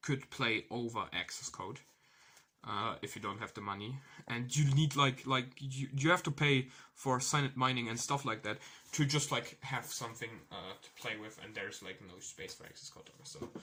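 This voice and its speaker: A man's medium-pitched voice with a non-native accent, bright, sharp tone, ordinary pitch variation and big swings in loudness. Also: moderate pace. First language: not English. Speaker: card game player giving tournament report. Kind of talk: casual tutorial monologue. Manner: halting, many fillers and restarts.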